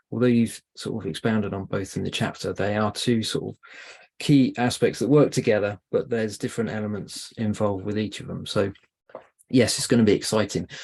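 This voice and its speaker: Against a quiet background, a man with a British accent talks at a fairly quick pace with fairly even intonation. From UK. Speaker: podcast guest host. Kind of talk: interview. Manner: hesitant with fillers.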